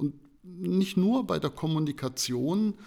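The man's voice has a dark, mellow tone. His intonation is lively. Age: 50s. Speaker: information design professor. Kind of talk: interview.

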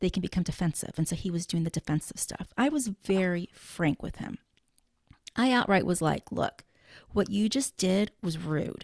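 An ordinary speaking voice from a woman at medium pitch, moderate pace and lively intonation, in a dry, close sound with no echo. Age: 40s. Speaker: podcast host and blogger. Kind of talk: casual chat. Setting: remote recording.

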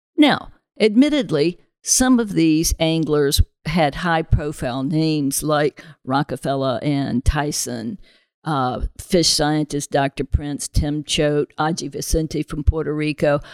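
In a very deep, low pitch with ordinary variation, a woman speaks at a very slow pace on a very clean recording with a silent background. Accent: American. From US South. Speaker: president of a sport fishing conservation group. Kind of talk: podcast interview.

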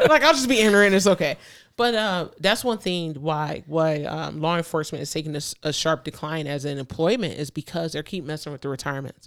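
In a very clean recording with a silent background, a woman with a very deep, low pitch speaks at a fairly quick pace in an animated tone with lively intonation. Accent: American. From US, urban neighborhood. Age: 30s. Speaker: police officer and competitive shooter. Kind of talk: casual chat. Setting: studio.

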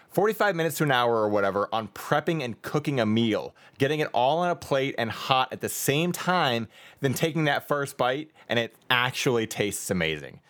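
A man with an American accent talks in an ordinary speaking voice at medium pitch and a fairly quick pace, with lively intonation. The recording is very clean, with a silent background. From New York. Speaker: podcast host. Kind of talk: casual chat.

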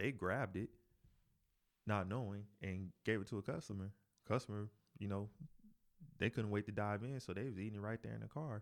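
In a very clean recording with a silent background, a man speaks at a fairly quick pace with a fairly low pitch. His intonation is fairly even, broken by long, frequent pauses. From North Carolina. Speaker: chef. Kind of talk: casual chat.

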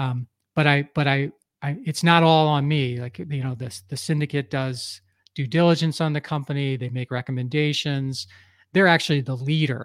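On a very clean recording with a silent background, a man has an unremarkable speaking voice with an American accent. His pitch is fairly high and his pace moderate. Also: fairly even intonation. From US Northeast, Philadelphia area. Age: 50s. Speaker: entrepreneur and business coach. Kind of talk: podcast interview.

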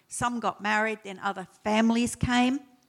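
In an Australian accent, a woman speaks at a moderate pace. Her pitch is fairly high and her intonation fairly even. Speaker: church founding member, retired nurse. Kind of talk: testimony.

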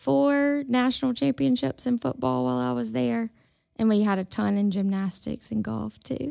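In a Mississippi accent, a woman speaks at a medium pitch and a moderate pace with very wide pitch swings and a dark, mellow tone. The recording is very clean, with a silent background and a dry, close sound with no echo. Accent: US Southern (Mississippi). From Mississippi Delta (Indianola). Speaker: university extension specialist in health. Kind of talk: casual interview. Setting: studio.

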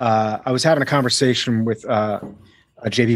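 Speaking with a slight US East Coast accent, a man keeps a medium pitch with ordinary variation. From US, Miami. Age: 40s. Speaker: actor and voice actor. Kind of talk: casual interview. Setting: home recording studio, video call.

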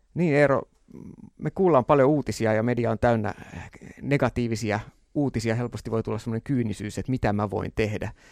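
A man speaks fairly quickly in a plain, everyday voice of medium pitch, with ordinary pitch variation. The sound is dry and close, with no echo. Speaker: radio host. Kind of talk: interview.

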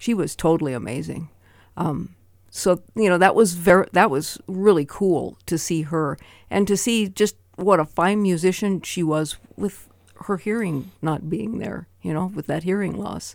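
A woman with an American accent, fairly low-pitched with vocal fry, ordinary pitch variation and a fairly slow pace, on a very clean recording with a silent background. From Montana, US. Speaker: percussionist and retired music teacher. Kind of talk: radio interview. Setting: radio studio.

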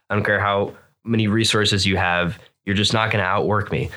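This man has an American accent and a fairly low pitch, with a bright, sharp tone. His intonation is fairly even, and the recording is very clean with a silent background. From Florida, US. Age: 20s. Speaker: online seller, entrepreneur. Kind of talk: casual interview chat. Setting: studio.

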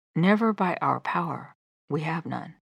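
With a gentle tone and vocal fry, a woman speaks at a fairly slow pace, her fairly low pitch showing ordinary variation. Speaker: devotional podcast host. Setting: solo studio recording. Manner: earnest, gentle, fervent; measured, sincere.

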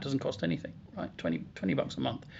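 A man's voice with vocal fry at a very fast pace. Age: 60s. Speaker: business consultant. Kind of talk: podcast interview.

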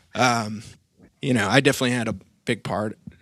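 Vocal fry runs through this man's fairly low voice. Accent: American. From Maine, US. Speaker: musician. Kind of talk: casual interview.

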